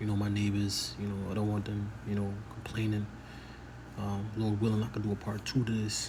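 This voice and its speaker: Soft-spoken and fairly low-pitched, a man talks at a fairly quick pace in a monotone, flat intonation, with audible room echo and noticeable background noise. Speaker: religious commentator. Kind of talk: casual monologue.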